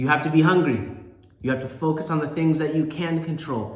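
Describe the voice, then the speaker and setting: A man with a fairly high pitch talks over noticeable background noise, with audible room echo. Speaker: sales coach. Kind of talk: motivational talk. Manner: emphatic.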